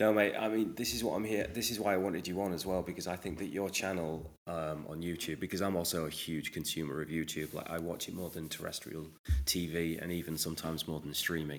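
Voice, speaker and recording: Speaking with an English accent, a man talks at a very fast pace. His very deep, low pitch stays in a fairly even intonation. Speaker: podcast host and whiskey ambassador. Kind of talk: casual interview chat. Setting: remote call from UK.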